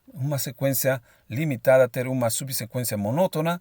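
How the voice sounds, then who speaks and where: On a very clean recording with a silent background and a dry, close sound free of echo, a man with a fairly high voice speaks at a moderate pace. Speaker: math lecturer. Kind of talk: lecture. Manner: hesitant, with repeated filler words.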